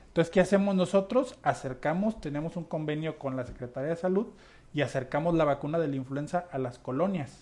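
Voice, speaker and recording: Against a quiet background, a man with a fairly high pitch and an unremarkable speaking voice talks at a fairly quick pace with ordinary pitch variation. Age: 30s. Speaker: local political hopeful and volunteer. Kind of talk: radio interview.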